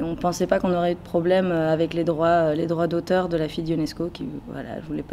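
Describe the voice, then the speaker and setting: Fairly low for a woman, her voice moves at a fairly quick pace with fairly even intonation. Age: 20s. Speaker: actress. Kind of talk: interview. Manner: halting, many fillers.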